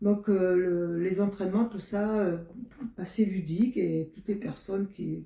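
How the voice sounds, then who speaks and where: A woman's somewhat breathy voice, medium in pitch with a dark, mellow tone, keeps fairly even intonation. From Marseille, southern France. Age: 70s. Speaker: retired basketball player and PE teacher. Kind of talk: interview. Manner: halting, many hesitations.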